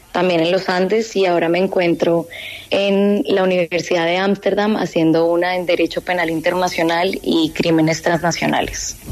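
A woman talks at a fairly slow pace and a fairly low pitch, with monotone, flat intonation. Noticeable background noise runs behind her. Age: 30s. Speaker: law graduate student. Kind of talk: radio interview. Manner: hesitant, with fillers.

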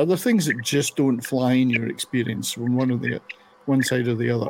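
A man in a Scottish accent talks at a moderate pace and medium pitch. Noticeable background noise is present. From Scotland. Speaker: radio show host. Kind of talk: casual panel chat. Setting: online video and radio show. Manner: animated, jokey.

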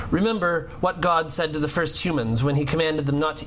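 Very fast and fairly high-pitched, a man talks with ordinary pitch variation. Noticeable background noise and audible room echo surround him. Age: 40s. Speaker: pastor. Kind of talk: sermon.

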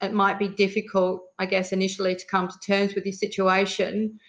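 Medium pitch from a woman with an Australian accent. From Western Australia. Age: 50s. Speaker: emergency management advisor. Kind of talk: interview testimony.

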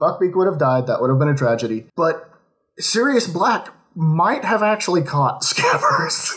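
Using very wide pitch swings, a high-pitched man with an American accent talks at a moderate pace and very even loudness. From Oklahoma. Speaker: podcast guest, fan. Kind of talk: casual chat.

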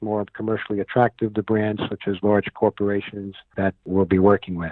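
At a moderate pace, a man with a New York accent speaks in a fairly low voice. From New York City (Manhattan, Bronx). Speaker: entertainment producer and show host. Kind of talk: casual interview. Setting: radio interview.

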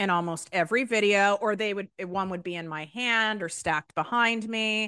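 Bright and sharp, a woman's voice comes across animated and energetic with lively intonation, dry and close with no echo over a quiet background. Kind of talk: casual podcast interview, ranty. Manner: animated, energetic.

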